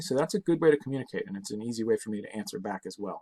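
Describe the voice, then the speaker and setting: A very clean recording with a silent background and a dry, close sound with no echo. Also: man. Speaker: science teacher. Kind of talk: recorded class video talk to students. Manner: fast; casual, many fillers.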